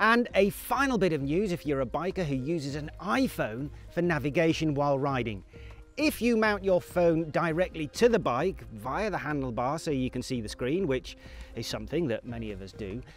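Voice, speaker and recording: A man at a moderate pace, dry sound with no echo, faint music in the background. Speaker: presenter. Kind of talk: news presentation to camera. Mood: dry humorous. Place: garden. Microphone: lapel.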